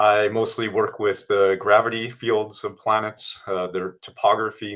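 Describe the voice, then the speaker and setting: A man with an American accent speaks with a fairly low pitch. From US. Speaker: scientist. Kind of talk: interview. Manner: halting.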